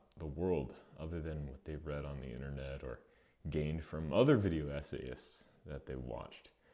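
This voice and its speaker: Very deep and low, this man's voice has a dark, mellow tone and vocal fry. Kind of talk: video essay commentary.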